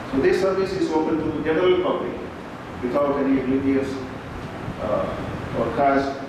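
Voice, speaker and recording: Strong room echo and noticeable background noise surround a man talking at a moderate pace with ordinary pitch variation. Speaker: speaker. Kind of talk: formal speech. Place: hall.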